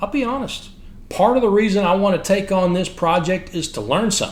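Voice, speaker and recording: A man with a Texan accent speaks at a fairly quick pace in a high voice, with audible echo from the room. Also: ordinary pitch variation. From Texas. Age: 50s. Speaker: military history podcaster. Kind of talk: scripted narration.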